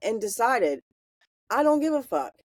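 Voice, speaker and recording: A woman talks in a Southern US accent. The sound is dry and close, with no echo. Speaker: podcast host. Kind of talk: casual chat.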